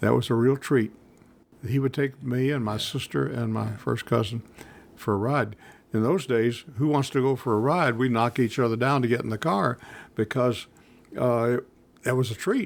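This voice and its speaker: A man with a Middle Tennessee accent speaks at a moderate pace with medium pitch, ordinary pitch variation and long, frequent pauses. The recording is very clean with a silent background. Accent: US Southern (Middle Tennessee). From Nashville, Tennessee. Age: 90s. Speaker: retired businessman recalling old times. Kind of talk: oral history interview.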